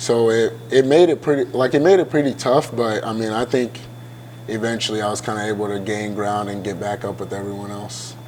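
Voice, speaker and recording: A man of medium pitch with ordinary pitch variation at a fairly quick pace, over noticeable background noise. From Ghana, then Iowa from age eight. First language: Ghanaian language. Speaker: college football player. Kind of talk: interview. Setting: hotel venue.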